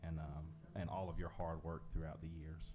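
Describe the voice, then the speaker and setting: Through audible room echo and noticeable background noise, a man speaks with very wide pitch swings. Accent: Southern US. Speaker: school board president chairing the meeting. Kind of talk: formal board meeting proceedings.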